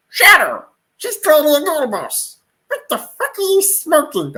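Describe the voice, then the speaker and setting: An extremely high pitch marks this put-on character voice. Its pitch swings very widely. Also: moderate pace. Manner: indignant, incredulous.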